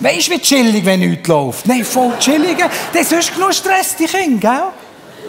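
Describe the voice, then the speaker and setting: Noticeable background noise runs under a man who talks at a moderate pace. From Bern, Switzerland. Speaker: comedian. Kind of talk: live stage comedy. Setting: live theatre audience.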